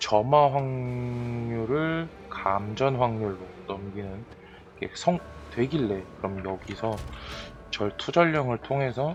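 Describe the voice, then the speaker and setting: With music in the background, a man speaks at a very slow pace in a medium pitch with lively intonation. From Chungcheong Province, South Korea. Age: 30s. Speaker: game streamer. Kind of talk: casual gameplay commentary.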